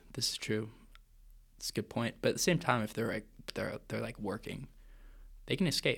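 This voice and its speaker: A man whispering at a fairly quick pace, with long, frequent pauses. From Vancouver, Canada. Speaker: co-host of student podcast. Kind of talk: casual chat between friends. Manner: casual, joking.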